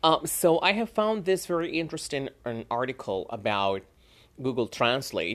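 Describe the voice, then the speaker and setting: Speaking with a Spanish accent at a fairly slow pace, a man makes very wide pitch swings against a quiet background. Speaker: English teacher; podcast host. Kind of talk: casual monologue. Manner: halting, many fillers.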